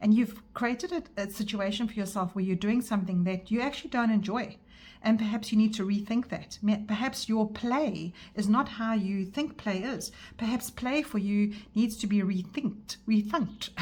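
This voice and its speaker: This woman's fairly high voice is somewhat breathy and shows ordinary pitch variation. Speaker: tarot reader. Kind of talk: tarot reading monologue. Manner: fast; hesitant, with fillers and restarts.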